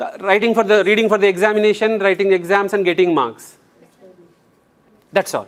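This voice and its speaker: This man speaks at a moderate pace in an Indian accent, his pitch high. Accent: Indian English (Telugu). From India, Telangana (Nalgonda district village). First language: Telugu. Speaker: English trainer. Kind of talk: lecture. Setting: classroom. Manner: animated.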